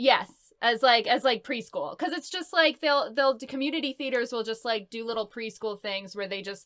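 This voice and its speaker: A woman's high-pitched, upbeat voice with lively intonation at a fairly quick pace. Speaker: voice actress. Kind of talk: interview answer. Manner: upbeat, chatty.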